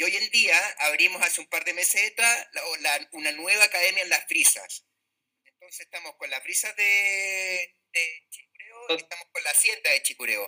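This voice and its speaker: A man's voice at a moderate pace, dry and close with no echo, with big swings in loudness. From Chile, Valdivia. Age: 40s. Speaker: professional golfer. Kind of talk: casual interview.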